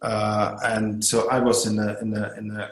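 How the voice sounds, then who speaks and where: A man with a German accent speaks in a fairly low, monotone, flat voice, with audible room echo. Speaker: hotel owner and tourism board head. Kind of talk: podcast interview. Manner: halting, many hesitations.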